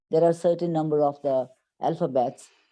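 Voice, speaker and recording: In a Pakistani accent, a woman speaks with a dark, mellow tone. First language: Urdu. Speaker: English teacher. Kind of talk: interview.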